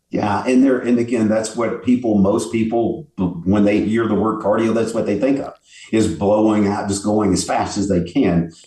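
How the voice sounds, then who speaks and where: Heard with audible room echo, a man speaks at a moderate pace and a fairly low pitch, his dark, mellow tone carrying ordinary pitch variation. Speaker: bodybuilder and fitness expert. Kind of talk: casual interview.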